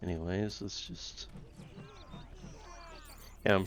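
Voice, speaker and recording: A man is mumbling. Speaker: gamer. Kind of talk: casual gameplay commentary.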